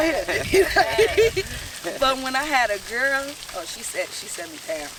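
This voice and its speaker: Over noticeable background noise, a woman with a high pitch speaks at a fairly slow pace, her pitch swinging very widely and her loudness rising and falling in big swings. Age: 30s. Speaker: mother in a panel discussion. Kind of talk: casual discussion. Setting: outdoors in a garden.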